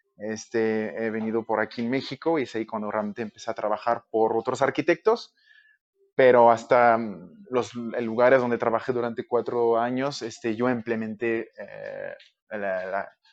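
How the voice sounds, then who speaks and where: A man with a French Canadian accent, medium pitch and fairly even intonation, at a moderate pace in a dry, close sound with no echo. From Quebec, Canada. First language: French (speaking Spanish). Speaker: architect. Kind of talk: podcast interview. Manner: hesitant, many fillers.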